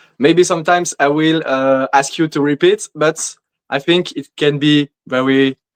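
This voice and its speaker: A man with a non-native accent and a fairly high pitch, fairly even intonation at a fairly slow pace, in a dry, close sound with no echo. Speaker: bodybuilder. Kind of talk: interview answers. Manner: halting, many fillers.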